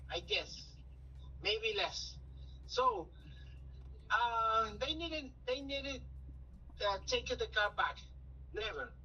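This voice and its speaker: Someone with a non-native accent speaks at a very slow pace with long, frequent pauses. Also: man. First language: Spanish. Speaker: caller. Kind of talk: phone call-in conversation. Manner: halting.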